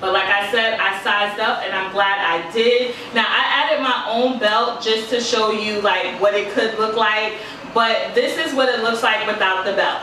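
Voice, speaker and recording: A woman talks with fairly even intonation amid audible room echo and light background noise. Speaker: fashion vlogger. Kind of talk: casual haul review. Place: home room. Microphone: camera far.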